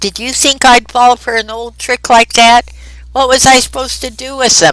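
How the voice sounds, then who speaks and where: Doing a put-on character voice, a woman speaks at a moderate pace in a high, raspy voice with flat, monotone intonation. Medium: read story. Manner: rambling, broken.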